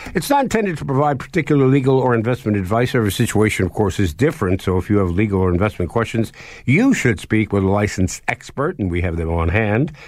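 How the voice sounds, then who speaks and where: A man talks at a very fast pace with hardly any pauses. His intonation is lively and his loudness very even. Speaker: radio co-host. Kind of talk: radio dj patter: jokey co-host banter, trivia-day quips. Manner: jovial, wry, chuckling, conversational.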